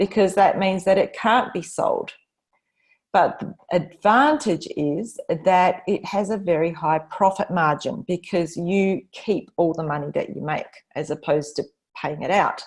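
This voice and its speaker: A woman speaks at a fairly slow pace with a medium pitch and ordinary pitch variation. Her voice is somewhat breathy. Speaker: business consultant presenting her methodology. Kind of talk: online presentation.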